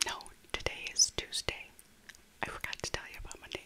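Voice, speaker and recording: Soft-spoken, a woman delivers her words in a whisper. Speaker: vlogger. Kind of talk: casual vlog chat. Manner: slow, soft ASMR whisper. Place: home room. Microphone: earbuds.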